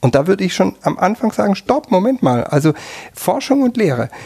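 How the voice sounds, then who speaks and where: Dark and mellow in tone, a man speaks. His pitch swings very widely. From Germany, Württemberg (near Tübingen). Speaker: professor of European ethnology. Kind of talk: interview. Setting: studio on seventh floor of university tower. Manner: hesitant, many filler sounds.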